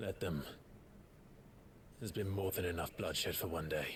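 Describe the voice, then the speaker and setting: A man does a put-on character voice that is raspy and very deep, at a moderate pace with fairly even intonation. Background noise is clearly audible. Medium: video game. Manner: measured, earnest.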